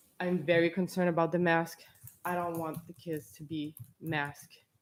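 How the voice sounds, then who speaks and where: A woman speaks in a fairly low, monotone voice with flat intonation. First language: not English. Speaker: parent speaking at public comment. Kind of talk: public comment at school board meeting.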